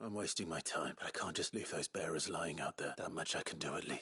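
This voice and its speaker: A man rattles off lines at a very fast pace in a raspy, put-on character voice with a fairly low pitch. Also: dry, close sound with no echo. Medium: video game. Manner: low, controlled, stern.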